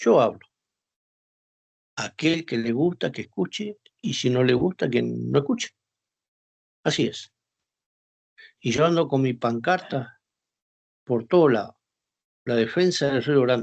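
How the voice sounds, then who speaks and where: A man of medium pitch speaks with long, frequent pauses. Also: lively intonation, fairly slow pace, dry, close sound with no echo. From northern Argentina, Formosa. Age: 60s. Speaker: war veteran. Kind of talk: interview.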